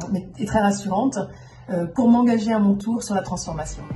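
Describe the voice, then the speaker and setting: A woman's voice at a moderate pace, with ordinary pitch variation, noticeable background noise and audible room echo. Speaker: company CEO. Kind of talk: self-introduction video.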